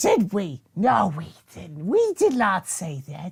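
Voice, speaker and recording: A female-sounding, put-on character voice comes at medium pitch and a fairly slow pace. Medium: actual play. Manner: scattered, eager, speaks as "we".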